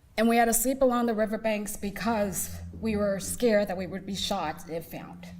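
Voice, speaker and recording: A woman with an American accent talks at a moderate pace with vocal fry, medium pitch and ordinary pitch variation, her loudness swinging widely. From Seattle, US (Laotian refugee family). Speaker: community speaker. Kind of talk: personal testimony talk.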